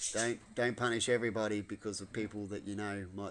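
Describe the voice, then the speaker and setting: A man speaks with an Australian accent at a fairly quick pace. His pitch is fairly low and his intonation fairly even. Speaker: vlogger. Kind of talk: casual monologue. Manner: loud.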